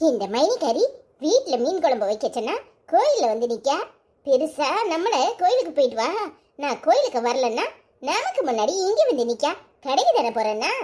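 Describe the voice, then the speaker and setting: This cartoonish character voice moves at a moderate pace with very wide pitch swings. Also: woman, high pitch for a woman. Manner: sly, sarcastic.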